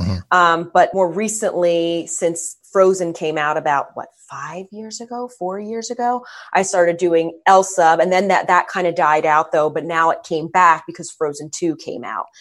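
With an American accent, a woman with an unremarkable speaking voice and fairly low pitch speaks at a moderate pace, using ordinary pitch variation, hardly any pauses and big swings in loudness. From Philadelphia. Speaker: celebrity impersonator. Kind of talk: casual chat.

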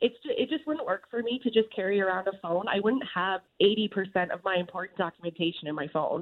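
Her voice is an unremarkable speaking voice with a medium pitch and lively intonation. The woman talks at a fairly quick pace with hardly any pauses. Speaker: radio host. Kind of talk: casual banter. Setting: radio studio.

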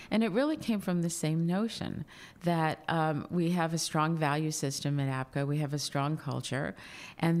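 A woman with a very deep, low pitch and an American accent speaks at a moderate pace on a very clean recording with a silent background. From US. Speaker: founder and executive chair of a communications consultancy. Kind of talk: interview. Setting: in Dubai.

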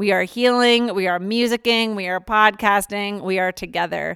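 Heard in a dry, close sound with no echo, a woman with an unremarkable speaking voice and an American accent speaks at a moderate pace and medium pitch, with fairly even intonation. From Philadelphia, US. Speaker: podcast host. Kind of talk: casual conversation.

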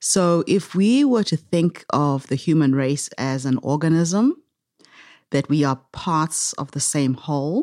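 Very slowly paced, the voice has a dark, mellow tone and ordinary pitch variation, recorded very cleanly with a dry, close sound, no echo and a silent background. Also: woman, very deep, low pitch for a woman. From Zimbabwe. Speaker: social entrepreneur. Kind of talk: interview. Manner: animated.

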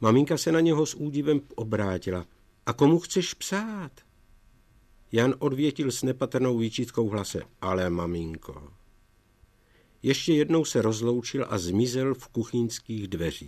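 A man's medium-pitched, fairly slow voice with very wide pitch swings and long, frequent pauses. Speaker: author reading his own book. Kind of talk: reading aloud, archive recording.

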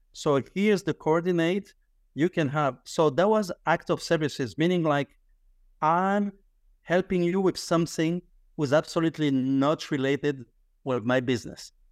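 At a moderate pace and fairly high pitch, a man with a French accent speaks with very even loudness and ordinary pitch variation, in a dry, close sound with no echo on a very clean recording with a silent background. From France. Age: 50s. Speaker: business founder, credit card processing. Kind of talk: casual interview conversation. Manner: halting, with frequent repetitions and fillers.

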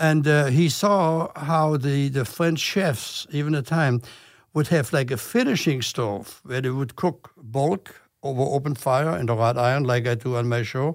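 In a very clean recording with a silent background, a man with a German accent speaks at a fairly slow pace and a fairly high pitch. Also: ordinary pitch variation. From Germany. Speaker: chef and TV host. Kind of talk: casual interview.

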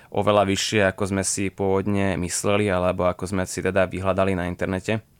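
A man speaks at a moderate pace in a fairly low, monotone voice with flat intonation. The recording is very clean, with a silent background. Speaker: horseback traveller. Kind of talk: radio interview. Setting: studio.

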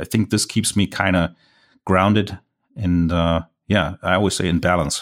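A man with a German accent speaks in a very deep, low voice, with fairly even intonation and very even loudness. He leaves long, frequent pauses, and the recording is very clean with a silent background. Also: moderate pace. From Germany. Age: 40s. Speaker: landscape photographer. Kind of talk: interview.

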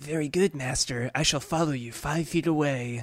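Using a put-on character voice at a fairly high pitch, a man speaks at a moderate pace in a very clean recording with a silent background. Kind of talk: comic overacting. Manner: fawning, apologetic, eager.

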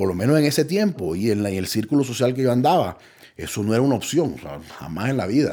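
Speaking at a very fast pace, a man with a medium pitch and a dark, mellow tone sweeps through very wide pitch swings. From Colombia. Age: 30s. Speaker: recovering addict. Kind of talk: testimony. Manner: halting.

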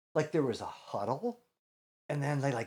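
A man speaks with a plain, everyday voice, pitched fairly high. His intonation is lively. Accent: American. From Chicago, US Midwest. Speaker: comedian and comedy teacher. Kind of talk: casual interview chat.

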